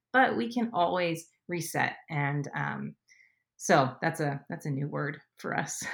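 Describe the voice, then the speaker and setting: This woman's pitch is very deep and low, swinging very widely, with vocal fry and an American accent. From US West Coast, Southern California. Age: 30s. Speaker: mother of three. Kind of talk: interview conversation.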